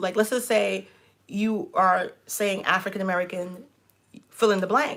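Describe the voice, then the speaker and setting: Her tone bright, sharp, and animated, a woman with a New York accent speaks at a medium pitch and a fairly slow pace on a very clean recording with a silent background. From New York, Brooklyn. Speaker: relationship coach and channel host. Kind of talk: casual chat.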